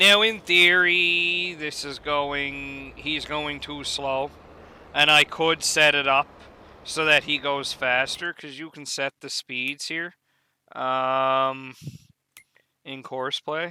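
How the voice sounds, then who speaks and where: In an East Coast Canadian accent, a man talks very slowly with fairly even intonation and big swings in loudness. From Canada. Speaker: gaming YouTuber. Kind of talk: gameplay tutorial. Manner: casual, hesitant with fillers.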